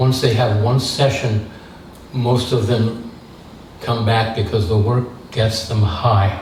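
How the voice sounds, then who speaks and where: Speech comes at a very slow pace with long, frequent pauses, a monotone, flat intonation and very even loudness. Noticeable background noise and audible room echo fill the recording. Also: man, medium pitch for a man. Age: 70s. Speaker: theatre director. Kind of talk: talk with audience Q&A. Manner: hesitant, many fillers.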